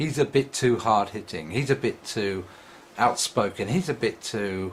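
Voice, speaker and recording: A man speaks at a fairly slow pace and a medium pitch. His voice is somewhat breathy, with lively intonation. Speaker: atheist video blogger. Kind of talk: vlog monologue. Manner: mumbling.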